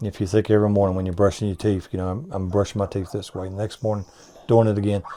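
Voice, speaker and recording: Talking at a very fast pace, a man with an Appalachian accent keeps his fairly low pitch on a fairly even intonation. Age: 60s. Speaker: businessman. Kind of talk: interview. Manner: halting.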